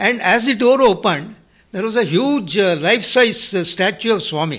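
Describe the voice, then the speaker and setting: Speaking at a moderate pace, a man uses a high pitch and lively intonation. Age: 80s+. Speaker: retired civil engineer, hospital volunteer. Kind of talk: interview answer.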